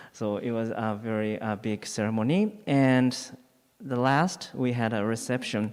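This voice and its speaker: On a very clean recording with a silent background, a man speaks in a Japanese accent. His medium pitch carries ordinary pitch variation at a fairly slow pace. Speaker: Buddhist priest. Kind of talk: dharma talk. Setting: temple hall. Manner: halting.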